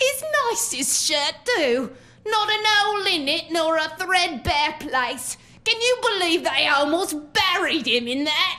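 Putting on a character voice, a woman talks at a fairly slow pace with an extremely high pitch, a bright, sharp tone and lively intonation. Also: few pauses.

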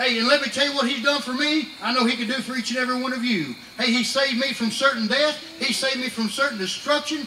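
Extremely high-pitched, raised, projected speech from a man at a very fast pace, with fairly even intonation, audible room echo and light background noise. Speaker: preacher. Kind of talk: revival sermon. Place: tent.

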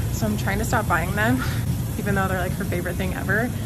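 Music plays in the background as a woman speaks. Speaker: mom vlogger. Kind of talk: casual vlog chat. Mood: cheerful, chatty, laughs. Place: shop. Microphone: phone near.

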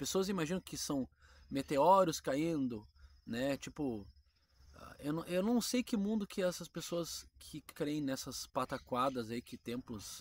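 The man has a fairly high pitch and lively intonation, speaking at a fairly slow pace. His loudness swings widely, and the sound is dry with no echo. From Brazil. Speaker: Bible teaching YouTuber. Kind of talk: casual Bible teaching monologue. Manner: conversational, informal. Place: garden. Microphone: phone near.

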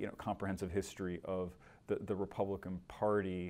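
A man's very deep, low voice with an American accent, a dark, mellow tone and monotone, flat intonation. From Michigan. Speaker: newspaper political reporter. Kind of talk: interview conversation. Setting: studio. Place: studio.

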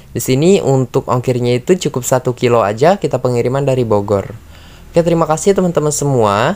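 A man talks very fast in an animated, upbeat tone with lively intonation. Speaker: orchid seller and youtuber. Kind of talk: sales pitch. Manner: animated, upbeat, persuasive; fast talker, repeats guys constantly. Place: garden. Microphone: phone near.

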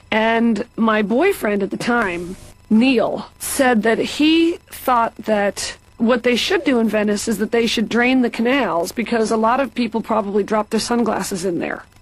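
A woman speaks at a fairly slow pace in a fairly high pitch, her loudness very even, with noticeable background noise behind her. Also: ordinary pitch variation. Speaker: comedian guest playing patient. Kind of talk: scripted animated comedy dialogue.

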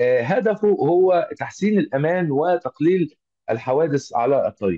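The speaker uses an Egyptian accent at a fairly slow pace. The pitch swings are very wide. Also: man. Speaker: automotive engineer and trainer. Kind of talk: online lecture. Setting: video call. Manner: halting, many filler sounds.

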